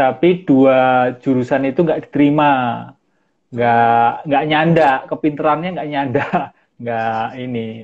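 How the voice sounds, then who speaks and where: The pace is very slow. Intonation stays fairly even. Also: man, fairly high pitch for a man. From Central Java, Solo. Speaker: mindfulness practitioner. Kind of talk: interview. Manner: calm; halting.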